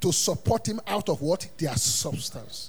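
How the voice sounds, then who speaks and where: A man talks at a fairly slow pace in an animated tone, his pitch swinging very widely. Noticeable background noise runs under his voice. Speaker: pastor. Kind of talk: Sunday sermon, call-and-response Bible teaching to a congregation. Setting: church service with congregation. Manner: animated, rhetorical questions left for the congregation to fill in; emphatic repetition of punchlines, chuckling between phrases.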